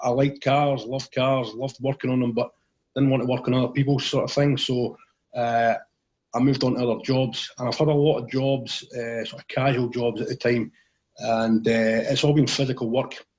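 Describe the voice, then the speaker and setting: In a central Scottish accent, a man talks at a fairly quick pace. His medium-pitched voice has a monotone, flat intonation. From central Scotland, Clackmannanshire. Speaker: motivational safety speaker. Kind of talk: interview, personal story.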